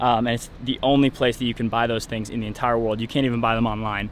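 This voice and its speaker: The sound is dry with no echo, and light background noise is present. A man speaks with monotone, flat intonation. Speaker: travel vlogger. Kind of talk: casual vlog chat. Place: street. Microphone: phone near.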